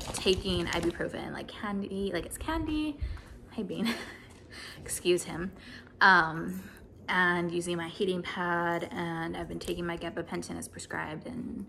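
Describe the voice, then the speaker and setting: A woman talks at a fairly slow pace with big swings in loudness over light background noise. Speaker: vlogger. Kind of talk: casual vlog chat, health update. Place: home room. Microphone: phone near.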